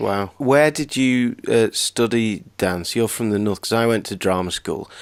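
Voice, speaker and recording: A man with a Lancashire accent at a fairly slow pace, ordinary pitch variation, in a very clean recording with a silent background. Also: medium pitch for a man. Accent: northern English (Lancashire). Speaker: podcast host. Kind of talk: interview.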